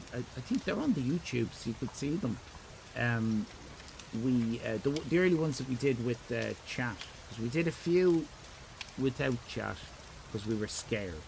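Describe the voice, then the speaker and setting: Over noticeable background noise, a man with an Irish accent speaks at a moderate pace and medium pitch with ordinary pitch variation. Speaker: streamer; parent.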